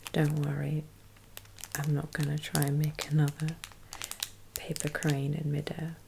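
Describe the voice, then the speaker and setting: Through noticeable background noise, a woman speaks with a gentle tone at a very deep, low pitch, her monotone, flat intonation broken by long, frequent pauses. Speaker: ASMR creator. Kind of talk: ASMR unpacking commentary. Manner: soft-spoken, slow, gentle.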